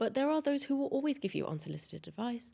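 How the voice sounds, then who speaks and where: A woman's high, fairly quick voice with a dark, mellow tone. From Dubai, UAE. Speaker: tech company CEO. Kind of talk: podcast interview. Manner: occasional stutter.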